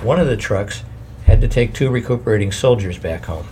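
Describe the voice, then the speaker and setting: Delivered at a fairly quick pace, the speech comes over noticeable background noise. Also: man. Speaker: audiobook-style narrator reading a memoir. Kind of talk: reading aloud a survivor's memoir, solemn historical narration. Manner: grave, measured, somber; formal, steady pace.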